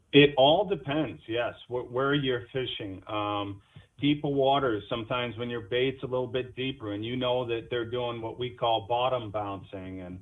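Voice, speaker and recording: In a normal speaking voice, a man talks at a moderate pace with ordinary pitch variation and hardly any pauses. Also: medium pitch for a man. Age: 40s. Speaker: fisherman. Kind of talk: casual interview chat.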